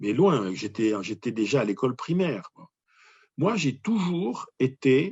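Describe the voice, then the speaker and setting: A man with a medium pitch talks at a very slow pace, somewhat breathy, his pitch swinging very widely and his loudness shifting in big swings. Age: 60s. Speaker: motivational speaker. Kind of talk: interview. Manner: hesitant, many repetitions.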